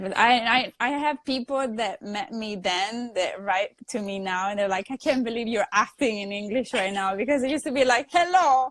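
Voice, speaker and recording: This woman has an Italian accent and a fairly high pitch. Her intonation is lively and her pace moderate. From Italy (Sicily). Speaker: actress. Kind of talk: casual chat. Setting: Instagram live video stream.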